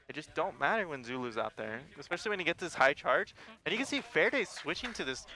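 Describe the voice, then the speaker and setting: A man talks very fast with a fairly high pitch and very wide pitch swings, noticeable background noise behind him. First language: not English. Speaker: esports caster. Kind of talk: live commentary. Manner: animated.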